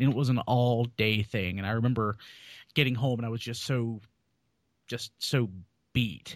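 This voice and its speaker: A man with an American accent and an ordinary speaking voice, medium-pitched, with fairly even intonation at a fairly slow pace, on a very clean recording with a silent background. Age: 30s. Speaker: podcast co-host. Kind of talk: casual chat.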